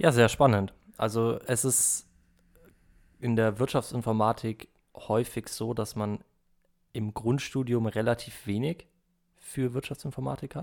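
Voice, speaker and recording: In a very clean recording with a silent background, a man of medium pitch speaks fairly slowly with fairly even intonation and long, frequent pauses. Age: 20s. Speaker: business informatics student. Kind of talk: casual chat.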